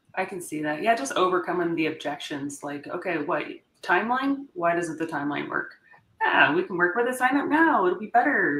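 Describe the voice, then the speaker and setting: A woman speaks loudly at a fairly quick pace. Her medium pitch swings very widely. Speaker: logistics sales professional. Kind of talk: interview conversation. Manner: animated.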